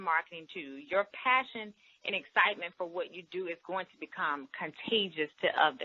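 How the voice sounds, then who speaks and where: At a moderate pace, a woman speaks with a medium pitch. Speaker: direct sales leader. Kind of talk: interview. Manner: animated.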